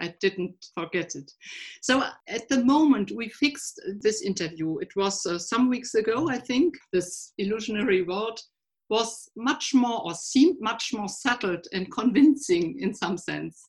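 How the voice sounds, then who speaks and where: Speaking fairly slowly with a German accent, a woman uses lively intonation in a fairly high, somewhat breathy voice. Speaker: podcast host. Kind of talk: interview. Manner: halting.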